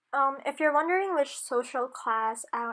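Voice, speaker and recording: Speaking at a moderate pace, a woman talks with a Filipino accent. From Philippines (Manila, Batangas). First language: Tagalog. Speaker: university student. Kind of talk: class project video narration. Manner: hesitant, many ums.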